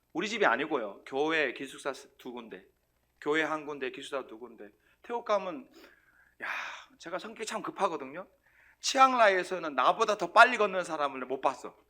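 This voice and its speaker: A bright, sharp, animated voice moves at a fairly quick pace with very wide pitch swings, big swings in loudness and long, frequent pauses, in a very clean recording with a silent background. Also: man, fairly high pitch for a man. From South Korea, Sangju, North Gyeongsang. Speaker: missionary preacher. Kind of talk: sermon. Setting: church.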